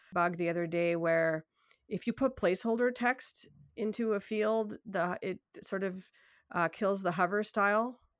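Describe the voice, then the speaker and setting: In a normal speaking voice with a Canadian accent, a woman speaks at a moderate pace and medium pitch with ordinary pitch variation, on a very clean recording with a silent background. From Canada, Toronto. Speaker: software developer and UI designer. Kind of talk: casual interview.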